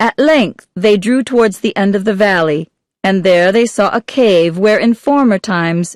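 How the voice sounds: Quiet surroundings and a natural reading voice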